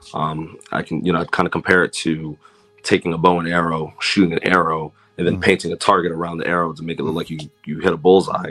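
Music plays in the background as a man with an American accent talks at a very fast pace. His pitch is very deep and low, and his intonation is monotone and flat. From US, Washington D.C. area (Silver Spring, Maryland). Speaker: podcaster, guest. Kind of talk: casual chat.

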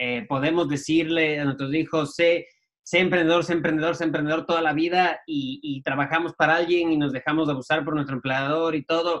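Here a man speaks at a fairly quick pace in a fairly high pitch. His intonation is monotone and flat. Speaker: podcast co-host. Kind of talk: interview.

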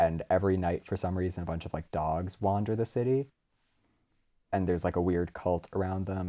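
A man's very deep, low voice with a dark, mellow tone and an American accent, at a fairly quick pace. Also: very clean recording, silent background. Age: 20s. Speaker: podcast co-host. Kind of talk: casual chat.

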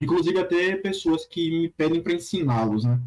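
This man talks at a moderate pace with a voice that sits high in pitch for a man. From interior of Bahia, Brazil. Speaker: pharmacy student and language learner. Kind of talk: casual chat.

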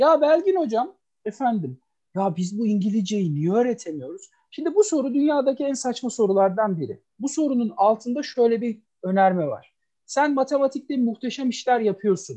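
A man's voice sits at an extremely high pitch yet carries a dark, mellow tone, with lively intonation against a quiet background. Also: moderate pace. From Istanbul (Kadıköy), Turkey. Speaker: professor of English language teaching. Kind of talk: casual chat.

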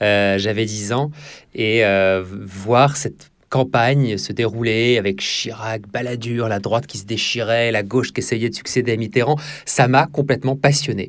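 On a very clean recording with a silent background, a man talks at a fairly slow pace. His pitch is medium, with ordinary variation. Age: 30s. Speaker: TV news anchor and political journalist. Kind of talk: interview. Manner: halting, many fillers and repetitions.

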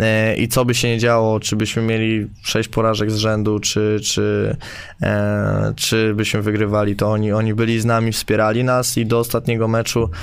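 A man with a fairly low pitch talks at a moderate pace with hardly any pauses. His intonation is monotone and flat, his loudness very even. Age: 20s. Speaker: basketball player. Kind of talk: casual chat. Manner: halting.

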